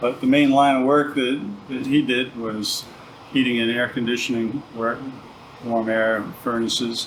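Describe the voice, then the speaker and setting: A man with an American accent talks at a moderate pace in a monotone, flat intonation, with long, frequent pauses. Noticeable background noise is present. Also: medium pitch for a man. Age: 60s. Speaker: sheet metal shop owner. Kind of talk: casual interview, shop history.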